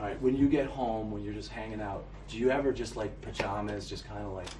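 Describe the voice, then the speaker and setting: With an American accent, someone talks at a very fast pace with big swings in loudness, amid noticeable background noise and audible room echo. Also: man. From Boston. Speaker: talk show host. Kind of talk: interview. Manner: playful.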